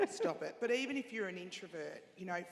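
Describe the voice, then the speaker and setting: At a medium pitch, a woman speaks in an Australian accent with lively intonation. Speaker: panelist, radio executive. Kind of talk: panel discussion. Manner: loud and chatty.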